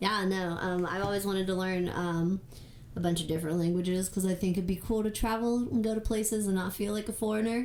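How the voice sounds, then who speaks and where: Over noticeable background noise, a woman talks at a very fast pace with medium pitch, fairly even intonation and very even loudness. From Puerto Rico. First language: Spanish. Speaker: podcast guest, host's partner. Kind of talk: casual chat.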